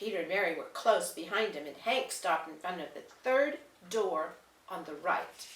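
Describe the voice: A passage plainly read aloud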